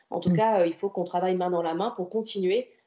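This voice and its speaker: Using a plain, everyday voice, a woman talks fairly quickly at medium pitch with fairly even intonation. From French Riviera, Antibes. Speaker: senator and local politician. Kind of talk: interview.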